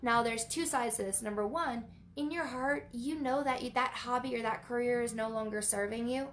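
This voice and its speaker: A woman with a high pitch speaks at a fairly quick pace, her pitch varying in an ordinary way. Noticeable background noise runs underneath. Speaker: spiritual teacher. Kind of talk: live online training. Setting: livestream. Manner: repetitive, halting.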